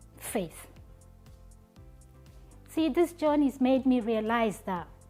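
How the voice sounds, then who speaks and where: Over music in the background, a woman speaks at a very slow pace with a high pitch and lively intonation. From Nigeria. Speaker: public speaker. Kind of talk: inspirational stage presentation.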